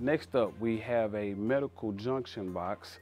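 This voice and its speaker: A man at a fairly slow pace, with faint music in the background. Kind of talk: workplace walkthrough interview. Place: workshop. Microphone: lapel.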